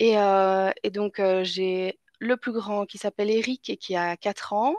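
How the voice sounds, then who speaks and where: A woman speaks at a very slow pace in a medium pitch with fairly even intonation, her voice dry and close with no echo against a quiet background. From Belgium. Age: 20s. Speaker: mother telling birth stories. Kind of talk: interview. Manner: halting, many fillers.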